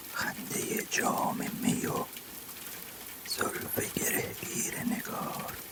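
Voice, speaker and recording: Someone whispers in a gentle tone at a very slow pace, with noticeable background noise behind them. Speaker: ASMR poetry reader. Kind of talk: whispered poetry reading for sleep. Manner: whispered, soft-spoken, gentle.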